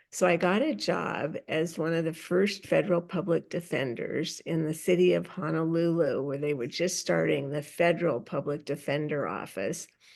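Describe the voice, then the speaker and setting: A woman with an American accent speaks at a moderate pace in a fairly low pitch with vocal fry, ordinary pitch variation and hardly any pauses. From US Pacific Northwest, Seattle. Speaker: public speaking coach and film producer. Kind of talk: interview. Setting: podcast.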